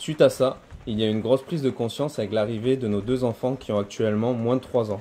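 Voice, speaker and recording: Very fast male speech, medium in pitch, the intonation fairly even. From southern France, Montpellier area. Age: 30s. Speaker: butcher and homesteading video maker. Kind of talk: casual video self-presentation. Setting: outdoors in his garden. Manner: hesitant, many fillers.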